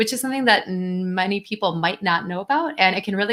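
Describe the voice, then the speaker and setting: A woman with a normal speaking voice, medium pitch and a fairly quick pace. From US Midwest, Wisconsin. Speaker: translation account manager, presenter. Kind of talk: conference presentation.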